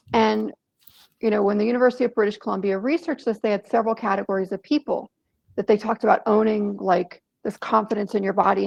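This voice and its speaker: A woman talks at a very fast pace with vocal fry. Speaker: author and workshop presenter. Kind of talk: online workshop talk. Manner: animated.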